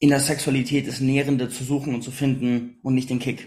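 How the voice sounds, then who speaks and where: A man talks at a medium speed in a mid-range register, his tone dark and mellow, his voice somewhat breathy and his intonation fairly flat. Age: 30s. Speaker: podcast host. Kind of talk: interview.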